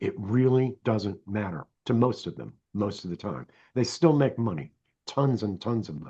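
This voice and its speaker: A man talks at a moderate pace over a quiet background, his fairly low voice dark and mellow with lively intonation. He sounds somewhat breathy, with big swings in loudness. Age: 60s. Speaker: software development coach. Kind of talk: casual interview chat.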